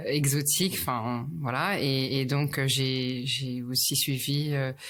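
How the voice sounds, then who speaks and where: A woman's very deep, low voice at a very slow pace, with fairly even intonation and very even loudness. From Paris, France (ages 4 to 11 in Tokyo). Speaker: luxury retail specialist. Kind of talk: interview. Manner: halting, many hesitations.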